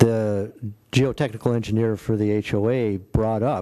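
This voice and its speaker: A man with a Midwestern US accent speaks at a fairly low pitch in a dark, mellow tone with monotone, flat intonation. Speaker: city staff engineer. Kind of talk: public meeting briefing.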